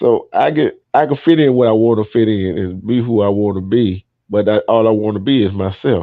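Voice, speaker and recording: A man speaks in a plain, everyday voice with an American accent, his pitch fairly low and ordinary in its variation. His pace is fairly quick, with hardly any pauses. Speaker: panel discussion host. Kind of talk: casual chat.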